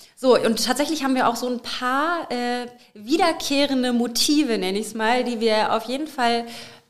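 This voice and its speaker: A woman's fairly high voice with ordinary pitch variation at a moderate pace, over noticeable background noise. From Lower Saxony, Germany (Bad Münder near Hameln). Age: 20s. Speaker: podcast co-host and part-time singer. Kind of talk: casual chat.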